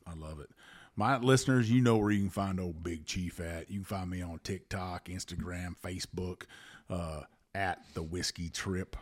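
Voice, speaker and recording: A man with a Southern US accent, very deep and low in pitch, at a moderate pace, with ordinary pitch variation and big swings in loudness. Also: very clean recording, silent background. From US South. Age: 50s. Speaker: whiskey podcast host and Coast Guard veteran. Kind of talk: casual chat.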